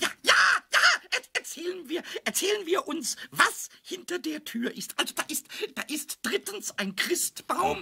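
A put-on character voice at a high pitch. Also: moderate pace. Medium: audio drama. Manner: stammering, repeating words.

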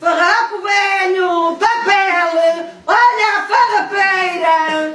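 In a put-on character voice, a woman speaks at an extremely high pitch and a very slow pace, with fairly even intonation and hardly any pauses. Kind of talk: street vendor's cry.

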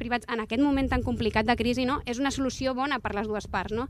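At a very fast pace, a woman speaks in a high pitch with fairly even intonation, the sound dry with no echo and light background noise behind her. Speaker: city council official. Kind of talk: press conference. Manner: halting. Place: street. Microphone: handheld.

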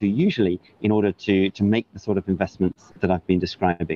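With a Welsh accent, a man talks at a fairly quick pace in a fairly low pitch, the sound dry with no echo. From Wales. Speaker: government climate envoy. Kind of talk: news interview. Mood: calm, measured. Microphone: earbuds.

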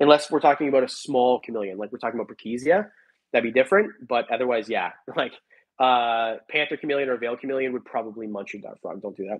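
A man at medium pitch talks at a very fast pace with ordinary pitch variation and big swings in loudness. The background is quiet. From Canada. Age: 30s. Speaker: reptile breeder and YouTuber; YouTuber. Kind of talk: live stream chat. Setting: live stream from home. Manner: rambling, off-the-cuff. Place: home room. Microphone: earbuds.

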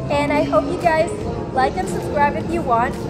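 A woman talks over loud music in the background. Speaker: food vlogger. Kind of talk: casual vlog chat. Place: cafe. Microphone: phone near.

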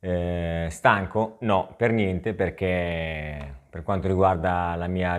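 Against a quiet background, a man with a very deep, low voice talks at a very slow pace with fairly even intonation. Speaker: tech product reviewer, video creator. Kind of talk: product review vlog. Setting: outdoors, riding an e-bike. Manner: casual, chatty with many fillers. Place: home room. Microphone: lapel.

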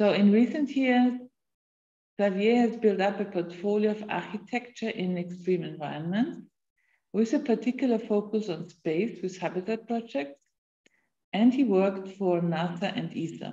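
With a dark, mellow tone, a woman talks at a moderate pace using ordinary pitch variation. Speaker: university lecturer. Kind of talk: moderating a lecture Q&A. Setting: video call. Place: home room. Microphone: video call.

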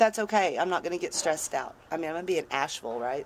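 Her intonation rises and falls in a lively way. The speaker is a woman. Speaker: van dweller vlogger. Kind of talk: casual vlog chat. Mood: wry, mildly exasperated. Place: street. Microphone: phone near.

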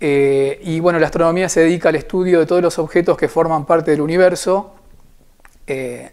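A man's fairly high voice at a fairly quick pace, with fairly even intonation. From Argentina, Buenos Aires. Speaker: amateur astronomer. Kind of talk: informal talk to camera. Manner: hesitant, frequent filler 'eh'. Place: home room. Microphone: lapel.

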